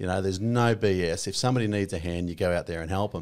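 Very deep and low in pitch, a man talks at a very fast pace in a strong Australian accent with ordinary pitch variation, on a very clean recording with a silent background. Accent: broad Australian. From rural Victoria, Australia. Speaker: army veteran turned real estate agent. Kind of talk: casual interview chat.

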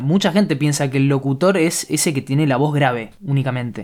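At a fairly quick pace, a man talks in an ordinary speaking voice. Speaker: podcast host. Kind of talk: casual interview.

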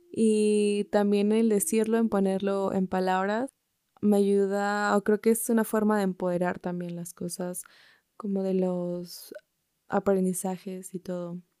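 The voice has a dark, mellow tone and monotone, flat intonation at a fairly slow pace. The sound is dry and close with no echo. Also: woman, medium pitch for a woman. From Mexico. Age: 20s. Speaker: podcast host, university student. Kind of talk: solo podcast monologue. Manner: casual, natural.

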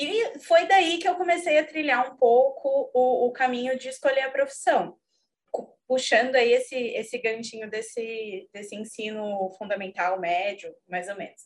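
A woman talks at a moderate pace in a high pitch. Her intonation is lively. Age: 30s. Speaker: lawyer and book club member. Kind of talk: casual chat.

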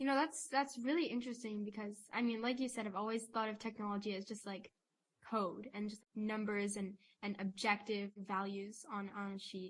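The woman's voice is fairly high and somewhat breathy. She keeps a moderate pace. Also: ordinary pitch variation. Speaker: podcast co-host. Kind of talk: interview.

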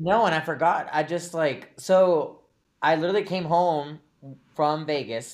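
Fairly high in pitch, a man speaks at a fairly slow pace. His pitch variation is ordinary. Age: 30s. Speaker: podcast co-host. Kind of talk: casual chat. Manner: animated.

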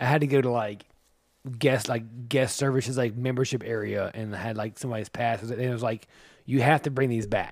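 With an American accent, a man with a medium pitch and a normal speaking voice talks at a fairly quick pace with fairly even intonation, the recording very clean and the background silent. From US South. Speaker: podcast co-host. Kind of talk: casual chat.

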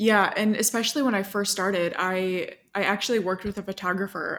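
With an American accent, this unremarkable speaking voice moves at a fairly quick pace with fairly even intonation, captured in a very clean recording against a silent background. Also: woman. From small town in the US. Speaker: software developer and content creator. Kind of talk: casual interview chat.

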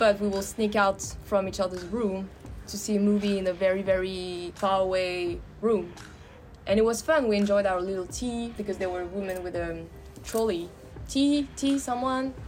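A woman speaks at a moderate pace in a plain, everyday voice. Her pitch is medium, with ordinary pitch variation. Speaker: podcast host. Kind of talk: casual conversation about personal experiences.

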